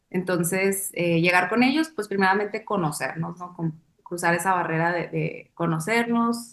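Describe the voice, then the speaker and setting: A woman's unremarkable speaking voice, fairly low-pitched, with fairly even intonation at a moderate pace. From Mexico, Sonora. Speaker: dancer and choreographer. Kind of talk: interview. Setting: webcast. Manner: reflective, with many fillers.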